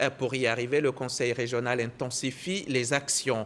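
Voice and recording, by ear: Fairly even intonation from a man at a medium pitch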